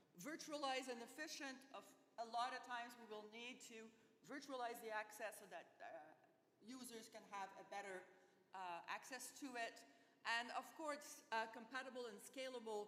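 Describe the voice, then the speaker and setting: Amid noticeable background noise and audible room echo, a woman with a fairly high voice talks at a moderate pace, with ordinary pitch variation and big swings in loudness. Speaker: research infrastructure speaker. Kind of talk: conference talk.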